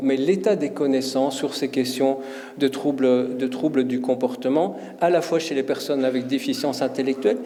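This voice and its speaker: The voice moves at a moderate pace with ordinary pitch variation. Music plays in the background, and room echo is audible. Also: man. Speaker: professor and conference speaker. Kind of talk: conference talk. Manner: hesitant, many fillers and repetitions.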